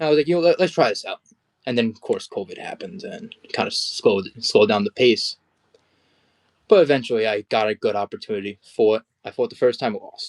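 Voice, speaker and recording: Delivery comes at a very fast clip. Close and dry, the sound carries no echo at all. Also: man. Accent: New Jersey. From New Jersey, US. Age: 20s. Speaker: amateur boxer. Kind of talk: interview.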